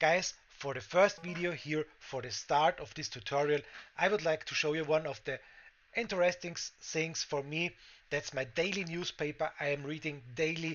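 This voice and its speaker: A man with a German accent speaks at a moderate pace. His pitch is fairly high, with ordinary variation. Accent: German-speaking accent in English. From Austria. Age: 40s. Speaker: crypto trading streamer. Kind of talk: tutorial. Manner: halting, many fillers.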